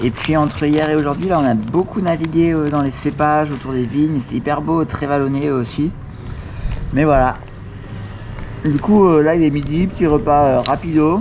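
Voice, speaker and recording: A man's fairly high voice at a moderate pace, with fairly even intonation and long, frequent pauses, over noticeable background noise. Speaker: bikepacking vlogger. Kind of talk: video diary. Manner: quiet, speaking softly.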